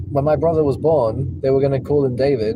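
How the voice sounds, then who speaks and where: A voice with an English accent and ordinary pitch variation, over noticeable background noise. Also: man. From Spain. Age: 20s. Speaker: rideshare driver. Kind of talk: casual chat. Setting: in a car.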